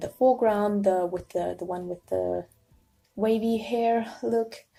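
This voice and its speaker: Music in the background behind a woman's fairly slow delivery. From Germany. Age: 20s. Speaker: illustrator, art student. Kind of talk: casual voice-over commentary on a drawing video. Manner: quiet.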